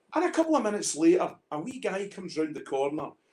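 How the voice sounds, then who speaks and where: A man is speaking. He has a Scottish accent. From Scotland. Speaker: independent whisky bottler; guest. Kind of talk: casual chat, storytelling. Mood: animated, humorous storytelling. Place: home room. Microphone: video call.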